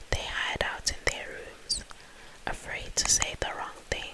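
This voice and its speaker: The speech is whispered, very slowly. Background noise is noticeable. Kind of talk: soft whispered ASMR book reading to help sleep. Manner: whispered, soft.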